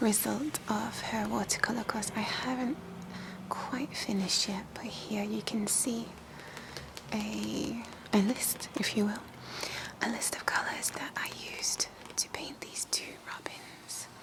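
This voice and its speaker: Whispering at a fairly slow pace, the speaker leaves long, frequent pauses as noticeable background noise carries on. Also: woman. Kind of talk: ASMR soft-spoken scrapbook show-and-tell. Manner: soft-spoken, whispery.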